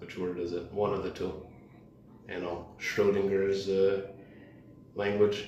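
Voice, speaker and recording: The speech is fairly slow, with long, frequent pauses and monotone, flat intonation. Room echo is audible. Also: man, fairly low pitch for a man. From Canada, Toronto. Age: 20s. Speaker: podcast guest. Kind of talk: casual chat. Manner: dry, sardonic.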